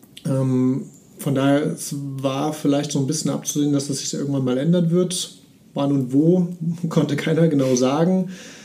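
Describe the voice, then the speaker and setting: A dark, mellow voice with fairly even intonation speaks at a moderate pace amid audible room echo. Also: man. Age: 30s. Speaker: mortgage finance advisor. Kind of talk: podcast interview.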